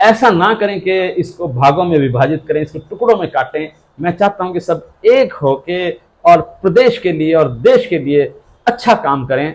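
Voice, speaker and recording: A man's high-pitched voice with lively intonation. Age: 70s. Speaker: politician and doctor. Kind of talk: interview. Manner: halting, many fillers.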